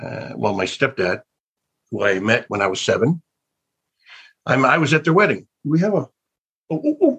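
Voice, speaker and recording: A man with an American accent, fairly high in pitch, with very wide pitch swings and long, frequent pauses. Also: moderate pace. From US South (Alabama). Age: 60s. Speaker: actor. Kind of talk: interview. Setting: video call.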